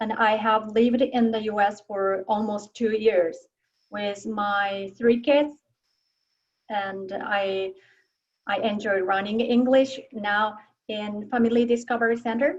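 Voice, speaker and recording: A woman talks very slowly in a Japanese accent. Her fairly high voice keeps a fairly even intonation. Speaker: adult English learner. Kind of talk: self-introduction. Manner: halting.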